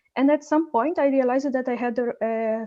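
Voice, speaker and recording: With a Portuguese accent, a woman speaks at a moderate pace in a dark, mellow tone, her high pitch showing ordinary pitch variation. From Brazil, Rio de Janeiro. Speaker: novelist. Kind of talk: interview.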